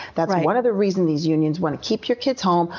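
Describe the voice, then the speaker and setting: Noticeable background noise sits behind a woman whose fairly low voice shows ordinary pitch variation. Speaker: author and education activist, guest. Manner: fiery, indignant, emphatic.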